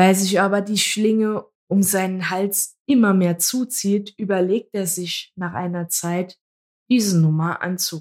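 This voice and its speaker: A woman's normal speaking voice, medium in pitch, with fairly even intonation and a fairly slow pace. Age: 20s. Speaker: podcast co-host. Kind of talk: casual chat.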